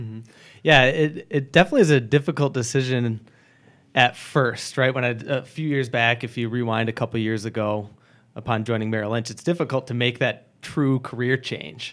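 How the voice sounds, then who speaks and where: This man has a normal speaking voice with an American accent, a medium pitch, ordinary pitch variation and a moderate pace. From Michigan, Grand Rapids area. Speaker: financial advisor. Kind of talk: casual interview.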